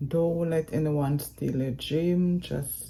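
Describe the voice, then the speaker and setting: A woman's very slow speech in a Jamaican accent, with a dark, mellow tone and ordinary pitch variation. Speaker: vlogger. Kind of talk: vlog update.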